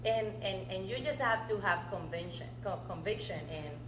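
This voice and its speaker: The room echo is audible and background noise is noticeable. A woman with a Colombian accent talks at a moderate pace. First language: Spanish. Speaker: public utility commissioner. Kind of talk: talk Q&A answer. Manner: animated, repetitive with restarts.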